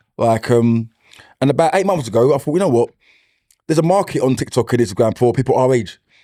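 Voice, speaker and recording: With a dark, mellow tone, the speaker moves at a fairly quick pace. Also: man. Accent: strong East London. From East London. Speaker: comedian and school mentor. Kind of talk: casual chat.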